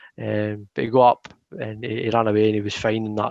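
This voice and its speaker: With a strong Scottish accent, a man talks at a fairly low pitch, the sound dry and close with no echo against a quiet background. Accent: thick Scottish. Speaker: football podcast co-host. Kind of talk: casual chat. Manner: animated.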